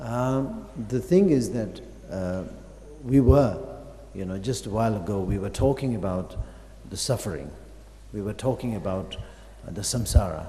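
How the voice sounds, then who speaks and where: With audible room echo, a man talks at a moderate pace and fairly low pitch, with ordinary pitch variation. His loudness swings widely, and he leaves long, frequent pauses. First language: Tibetan. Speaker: Buddhist master teaching. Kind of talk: dharma teaching. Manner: halting, many fillers.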